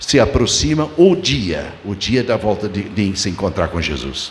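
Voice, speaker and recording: Speaking at a very slow pace, a man is heard with audible room echo and noticeable background noise. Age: 70s. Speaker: pastor. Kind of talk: sermon. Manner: halting.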